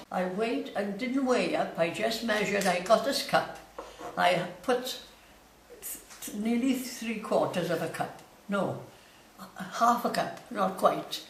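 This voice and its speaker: In a Welsh accent, a woman with a fairly high pitch and ordinary pitch variation speaks very slowly with long, frequent pauses over noticeable background noise. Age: 80s+. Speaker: home baker. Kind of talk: cooking demonstration.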